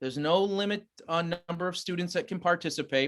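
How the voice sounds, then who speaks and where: Delivered at a fairly quick pace, the speech shows ordinary pitch variation. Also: man. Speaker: school administrator. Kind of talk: public meeting presentation. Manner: fast.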